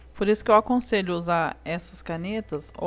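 A woman's intonation stays fairly even as she talks fairly slowly. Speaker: craft instructor. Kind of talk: tutorial. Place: home room.

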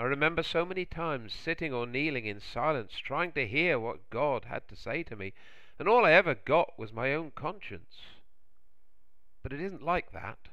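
Speaking at a moderate pace, a man keeps his intonation lively. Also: medium pitch for a man.

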